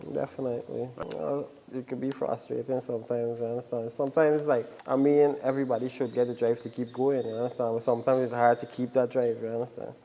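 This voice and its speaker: Over noticeable background noise, a man talks at a very fast pace with monotone, flat intonation. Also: medium pitch for a man. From Guyana. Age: 20s. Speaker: musician and barber. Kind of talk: casual interview.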